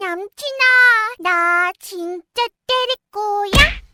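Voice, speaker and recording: Using a cartoonish character voice at an extremely high pitch, a woman speaks in an upbeat tone at a very slow pace. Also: dry, close sound with no echo. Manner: upbeat, cute.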